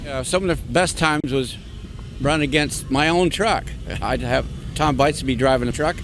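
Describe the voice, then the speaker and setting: There is noticeable background noise as a man with a fairly high pitch and ordinary pitch variation speaks with long, frequent pauses. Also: moderate pace. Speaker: retired monster truck racer and builder. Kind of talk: interview answer.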